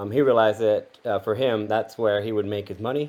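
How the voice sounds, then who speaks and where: The man has an American accent and a medium pitch. His is an unremarkable speaking voice with fairly even intonation. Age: 40s. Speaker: university professor. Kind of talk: interview.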